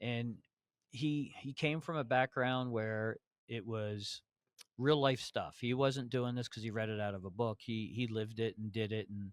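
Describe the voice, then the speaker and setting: In a very clean recording with a silent background, a man speaks at a fairly slow pace and a medium pitch. He has an unremarkable speaking voice. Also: dry, close sound with no echo. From New Jersey. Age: 60s. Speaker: HVAC educator. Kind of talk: casual interview chat. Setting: conference podcast recording.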